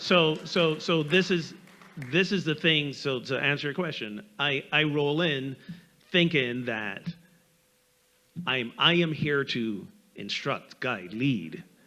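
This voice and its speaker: A bright, sharp tone with lively intonation. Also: man. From Barbados. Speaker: minister, panelist. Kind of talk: panel discussion.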